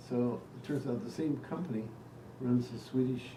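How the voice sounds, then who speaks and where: A man with an American accent at a medium pitch, fairly even intonation, and noticeable background noise. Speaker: retired teacher and researcher. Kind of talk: casual storytelling in family conversation.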